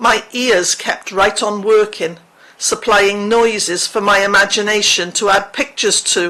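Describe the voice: Fairly even intonation throughout a plain reading aloud.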